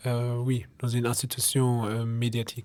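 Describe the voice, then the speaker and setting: The speaker talks at a very slow pace with a German accent. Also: man. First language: German (speaking French). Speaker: student radio journalist. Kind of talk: radio interview. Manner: halting, many fillers.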